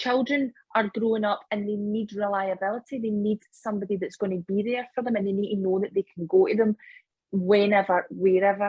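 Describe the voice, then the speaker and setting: With a Scottish accent, a woman talks at a fairly quick pace in a somewhat breathy, medium-pitched voice with fairly even intonation. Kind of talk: casual podcast conversation.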